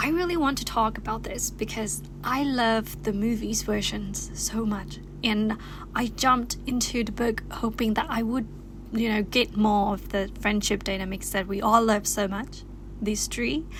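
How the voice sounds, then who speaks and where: With a Thai accent, a woman speaks at a moderate pace and fairly high pitch, using ordinary pitch variation over noticeable background noise. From Thailand. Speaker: YouTuber. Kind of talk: casual vlog chat. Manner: animated; halting.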